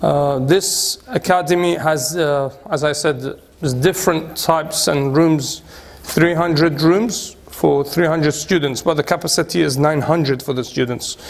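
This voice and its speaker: The pace is fairly slow as a man speaks with a fairly high pitch and ordinary pitch variation. Noticeable background noise sits behind him. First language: Arabic. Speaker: cleric and institute director. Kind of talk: guided tour talk. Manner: halting.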